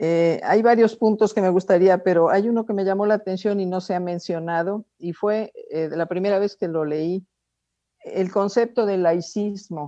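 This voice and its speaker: A woman with a dark, mellow tone and fairly even intonation. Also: medium pitch for a woman, fairly slow pace. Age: 70s. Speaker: course participant. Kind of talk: group discussion contribution. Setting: video call.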